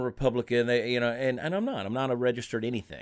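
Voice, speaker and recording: In a very clean recording with a silent background, a man with an American accent and a medium pitch talks at a very fast pace. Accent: Southern, somewhat muted. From US South, Augusta, Georgia. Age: 40s. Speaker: comedian. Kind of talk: casual chat.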